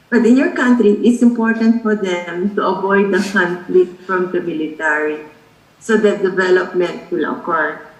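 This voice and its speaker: Speaking at a moderate pace with ordinary pitch variation, a woman with a medium-pitched voice is heard against audible room echo and noticeable background noise. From Philippines. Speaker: sociology professor. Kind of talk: lecture.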